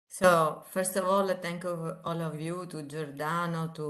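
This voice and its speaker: A woman with an Italian accent, very deep and low in pitch, moderate in pace, fairly even in intonation, amid audible room echo. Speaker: engineering professor. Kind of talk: lecture. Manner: halting.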